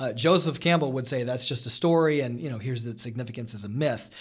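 A man talks at a very fast pace and medium pitch, his voice somewhat breathy. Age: 30s. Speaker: high school teacher. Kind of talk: casual chat.

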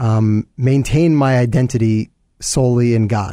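A man with an American accent speaks at medium pitch in a dark, mellow tone. His pace is fairly slow with ordinary pitch variation, on a very clean recording with a silent background. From New York. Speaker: business owner. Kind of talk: interview. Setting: studio. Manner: halting, many fillers.

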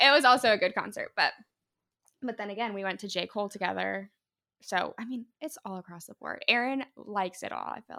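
In a Midwestern American accent, a woman talks fairly quickly at medium pitch with ordinary pitch variation, in a dry, close sound with no echo. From northeast Indiana, US Midwest. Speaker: podcast guest. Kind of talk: casual chat.

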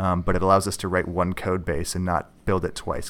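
A man's very deep, low voice with a Minnesota accent at a fairly quick pace, in a very clean recording with a silent background. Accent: Upper Midwest (Minnesota) American. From Minnesota, north shore of Lake Superior. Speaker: geology graduate student and app developer. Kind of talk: interview.

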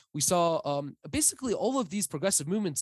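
A man with an American accent, high pitch, lively intonation and fairly quick pace, in a very clean recording with a silent background and a dry, close sound with no echo. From US Midwest. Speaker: historian. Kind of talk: interview. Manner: halting with many fillers and repetitions.

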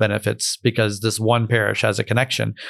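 A man with an American accent talks at a very fast pace with vocal fry. The recording is very clean, with a silent background. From Florida, US. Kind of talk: interview conversation.

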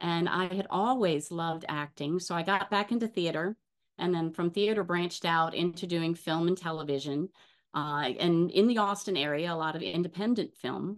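A plain, everyday voice at a moderate pace over a quiet background. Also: woman, fairly low pitch for a woman, ordinary pitch variation. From US South, New Orleans. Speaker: actress. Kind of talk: casual interview.

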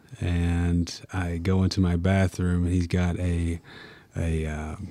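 Here a man speaks with a Tennessee accent in a very deep, low pitch. His tone is dark and mellow, and his intonation is monotone and flat. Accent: Southern US, Tennessee. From Tennessee, US South. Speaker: college basketball player. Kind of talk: casual interview. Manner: quiet, soft-spoken.

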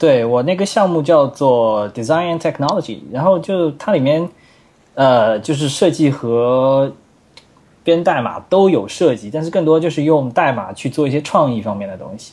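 With lively intonation and big swings in loudness, a man with a fairly high pitch speaks at a moderate pace. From China, Wuxi (Jiangsu). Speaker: software engineer and framework author. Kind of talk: technical interview chat. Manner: animated.

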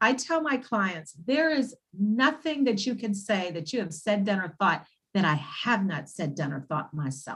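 Speaking in an American accent, a woman lets her pitch swing very widely. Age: 60s. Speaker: naturopath. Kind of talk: casual interview.

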